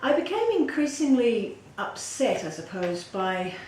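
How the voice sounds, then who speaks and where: A woman speaks with an Australian accent. Noticeable background noise and audible room echo come through. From Western Australia (Perth). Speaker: political candidate. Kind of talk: interview.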